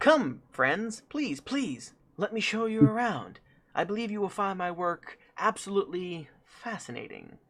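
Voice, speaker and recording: This is a put-on character voice, fairly high-pitched and nasal. It is quiet and moves at a moderate pace. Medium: actual play. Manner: ingratiating, polite.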